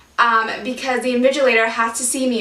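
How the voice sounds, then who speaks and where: Through noticeable background noise, a woman speaks in a raised, projected voice at a high pitch with an animated tone. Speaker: vlogger sharing life with multiple sclerosis. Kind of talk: casual vlog talk to camera. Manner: fast.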